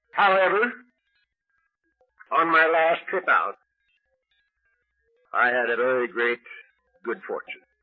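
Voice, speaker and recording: A man's high voice at a fairly slow pace, with long, frequent pauses, very wide pitch swings and music in the background. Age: 70s. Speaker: recovery meeting speaker. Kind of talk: speech to a meeting audience.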